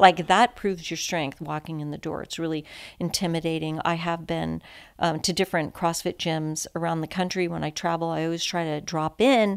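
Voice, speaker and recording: Fairly low in pitch, a woman with a Californian accent speaks with fairly even intonation. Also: fairly quick pace, very clean recording, silent background. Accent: American, Californian. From San Francisco, California. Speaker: podcast guest, recovering addict, CrossFit athlete. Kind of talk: casual chat.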